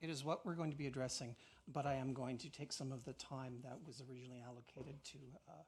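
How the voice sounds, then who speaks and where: A somewhat breathy man at medium pitch, very fast in pace, with fairly even intonation. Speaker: counsel for claimants. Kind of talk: legal opening submissions.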